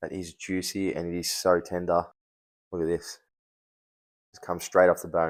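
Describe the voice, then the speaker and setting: Spoken at a moderate pace with an Australian accent, the voice stays flat and monotone while its loudness swings widely and long pauses come often. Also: man, very deep, low pitch for a man. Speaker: barbecue cooking youtuber. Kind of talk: cooking tutorial. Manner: casual, friendly.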